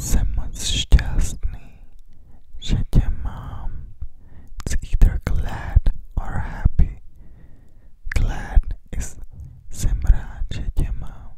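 A man whispering at a very slow pace, dry with no echo, over loud background noise. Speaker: language teacher. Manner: close, intimate whisper into ear. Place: home room. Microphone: handheld.

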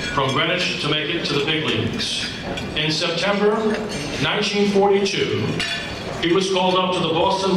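A man with a high pitch speaks at a fairly slow pace, with audible room echo and noticeable background noise. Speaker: banquet announcer. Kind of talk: formal introduction speech. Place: hall.

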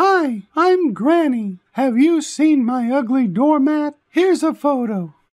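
A fairly slow, extremely high-pitched put-on character voice from a man.

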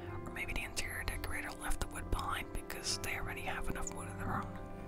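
Someone whispers at a very fast pace. Music plays in the background. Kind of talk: ASMR house tour commentary. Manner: whispered.

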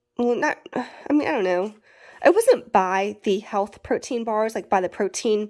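A woman speaks at a fairly slow pace with a Southern US accent. Her pitch is fairly high, and the recording is very clean with a silent background. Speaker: prepper YouTuber. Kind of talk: casual vlog haul. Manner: casual, chatty.

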